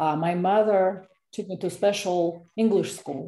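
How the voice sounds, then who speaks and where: The woman's voice is fairly low in pitch, with a dark, mellow tone. She talks fairly slowly, her intonation fairly even. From Russia. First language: Russian. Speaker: fiction author. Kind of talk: interview; reading aloud. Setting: video call. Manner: halting.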